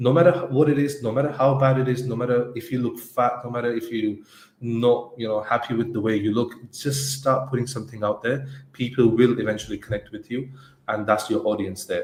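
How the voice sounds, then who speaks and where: A man with a medium pitch talks at a fairly quick pace, somewhat breathy and with fairly even intonation. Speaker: agency co-founder and podcast co-host. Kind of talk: casual podcast discussion. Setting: live stream. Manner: halting, with repetitions.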